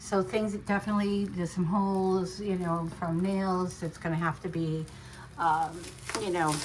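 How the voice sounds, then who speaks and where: Noticeable background noise fills the recording. A woman speaks with fairly even intonation. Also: moderate pace. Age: 60s. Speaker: home renovation vlogger. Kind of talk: casual DIY vlog narration. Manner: casual, hesitant with fillers.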